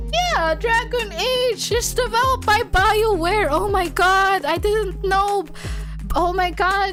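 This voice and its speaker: Over music in the background, a woman speaks very slowly with lively intonation. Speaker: vtuber streamer. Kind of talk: live stream reading aloud and chatting. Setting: live stream. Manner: animated.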